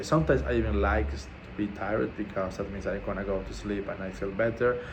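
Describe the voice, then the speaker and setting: With noticeable background noise and audible room echo, a man with a non-native accent speaks at a fairly low pitch and a moderate pace. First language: not English. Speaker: vlogger documenting a fast. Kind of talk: casual video diary. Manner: halting, many fillers.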